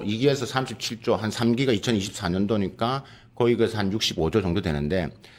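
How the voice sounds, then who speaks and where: The man's pitch sits at a medium level with ordinary variation. He talks at a fairly quick pace. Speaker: professor. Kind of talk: panel discussion. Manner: fast.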